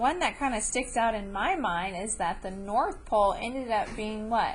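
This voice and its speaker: There is audible room echo around this woman's voice. She speaks fairly high with lively intonation. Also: moderate pace. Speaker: elementary school teacher. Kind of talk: lesson to students.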